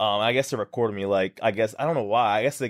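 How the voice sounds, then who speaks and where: With an American accent, a man speaks very fast in a fairly low voice. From Texas, small town. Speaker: fitness influencer. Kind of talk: interview, casual storytelling.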